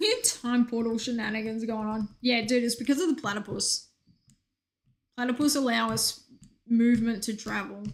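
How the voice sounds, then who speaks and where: A woman speaks with a slight Australian accent. Her fairly high voice has an animated tone. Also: moderate pace. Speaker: video game streamer. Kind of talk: casual chat.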